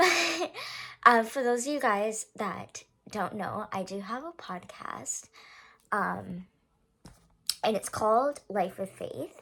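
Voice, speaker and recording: In a raspy, put-on character voice, the speaker goes at a fairly slow pace with long, frequent pauses and very wide pitch swings. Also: woman, fairly high pitch for a woman. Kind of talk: casual, addressing viewers. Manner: awkward, low energy.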